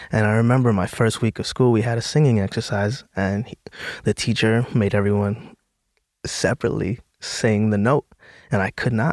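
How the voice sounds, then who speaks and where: A man with an American accent and an ordinary speaking voice, medium pitch, fairly even intonation and moderate pace, on a very clean recording with a silent background and a dry, close sound with no echo. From US Northeast, the Bronx, New York City. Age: 20s. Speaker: actor. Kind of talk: casual chat.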